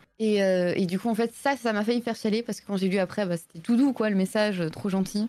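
With a plain, everyday voice, a woman speaks at a fairly quick pace, her fairly high pitch held in fairly even intonation, on a very clean recording with a silent background. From Belgium. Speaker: streamer and illustrator. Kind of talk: casual live-stream interview. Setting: live stream voice call.

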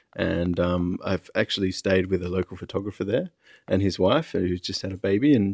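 Recorded dry and close with no echo and a silent background on a very clean track, a man with an Australian accent speaks at a moderate pace in a very deep, low pitch. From Western Australia (Perth). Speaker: photographer. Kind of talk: casual interview. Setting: on location in Venice.

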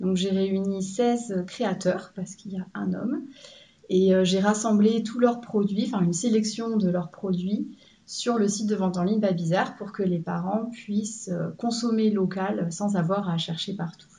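With audible room echo, a woman at a medium pitch talks fairly slowly in a somewhat breathy, dark, mellow tone and fairly even intonation. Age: 30s. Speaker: entrepreneur. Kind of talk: interview. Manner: hesitant with fillers.

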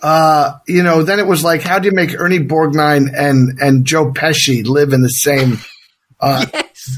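The voice moves at a fairly slow pace with ordinary pitch variation. Its loudness stays very even. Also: man, fairly high pitch for a man. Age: 50s. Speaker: actor. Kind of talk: casual interview chat.

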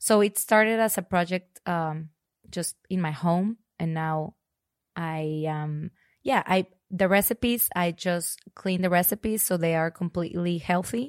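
Recorded very cleanly with a silent background, a woman speaks with a Spanish accent. Her pace is fairly slow and her pitch varies in an ordinary way. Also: fairly low pitch for a woman. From Mexico (Monterrey). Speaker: fitness client. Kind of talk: interview. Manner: hesitant, many fillers.

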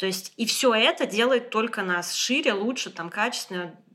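Noticeable noise sits in the background while a woman talks with lively intonation. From Moscow, Russia. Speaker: interior designer and community founder. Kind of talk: casual chat. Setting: guest's apartment.

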